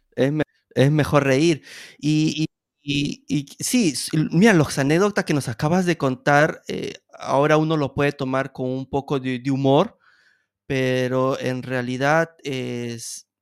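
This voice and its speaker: A man speaks at a fairly high pitch and a very slow pace, with ordinary pitch variation. The recording is very clean with a silent background, dry and close with no echo. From Peru. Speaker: podcast host. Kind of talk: casual interview.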